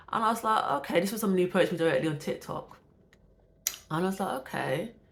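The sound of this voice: Talking at a fast pace, a woman uses lively intonation and a fairly low pitch.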